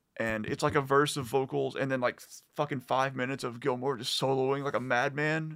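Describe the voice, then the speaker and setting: This man has a plain, everyday voice at a medium pitch, with fairly even intonation. The recording is very clean, with a silent background. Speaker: music fan guest. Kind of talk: casual chat.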